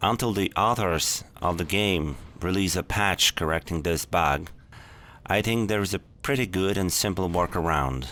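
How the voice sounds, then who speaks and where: The speaker has a non-native accent, vocal fry and very even loudness. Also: man, very deep, low pitch for a man, ordinary pitch variation, moderate pace. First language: not English. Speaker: gaming tutorial youtuber. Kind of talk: tutorial.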